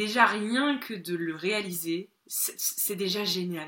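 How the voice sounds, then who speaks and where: Lively intonation and a bright, sharp tone mark this woman's medium-pitched voice. The recording is very clean, with a silent background. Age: 30s. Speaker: spiritual teacher and retreat leader. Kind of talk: interview conversation.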